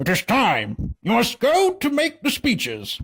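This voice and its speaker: On a very clean recording with a silent background, a put-on character voice speaks fairly slowly at a fairly high pitch. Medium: read story. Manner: serious.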